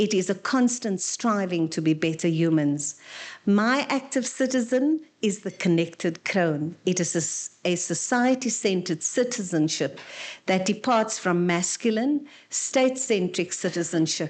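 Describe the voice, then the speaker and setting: A woman speaks at medium pitch with lively intonation and a fairly slow pace, in a normal speaking voice. The background is quiet. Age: 60s. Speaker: panel speaker. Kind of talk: seminar presentation.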